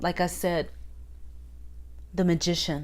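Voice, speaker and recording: A woman's fairly slow speech carries audible room echo. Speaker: tarot teacher and channel host. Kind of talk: casual tutorial monologue. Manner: talking up louder than usual.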